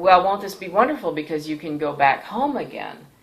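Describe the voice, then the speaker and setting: A woman is speaking. Audible room echo can be heard around her voice. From Thailand (Bangkok), American missionary family. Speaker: pastor and missionary. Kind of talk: personal testimony. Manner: hesitant, frequent fillers.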